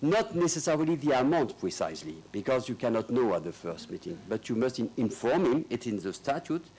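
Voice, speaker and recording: With a French accent, a man talks at a fairly quick pace with hardly any pauses, his medium-pitched voice showing very wide pitch swings and vocal fry. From northern France (Lille). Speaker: lawyer. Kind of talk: conference speech. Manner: halting.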